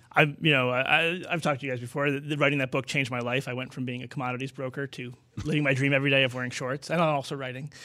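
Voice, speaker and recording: A man speaks very fast with hardly any pauses, in a flat monotone and a bright, sharp tone, on a very clean recording with a silent background. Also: medium pitch for a man. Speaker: author. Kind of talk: interview.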